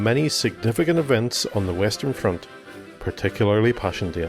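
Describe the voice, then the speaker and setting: A man's medium-pitched voice at a fairly quick pace, lively in intonation, with music in the background. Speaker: podcast narrator and interviewer. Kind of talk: podcast narration.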